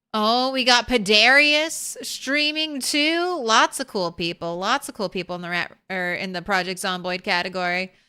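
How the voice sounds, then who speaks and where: With an animated, bright, sharp tone and very wide pitch swings, the speaker talks at a moderate pace with hardly any pauses in a very clean recording with a silent background. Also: woman, fairly high pitch for a woman. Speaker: video game streamer. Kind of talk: casual live stream outro. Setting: home, live stream with cats nearby. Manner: theatrical, like a circus ringleader.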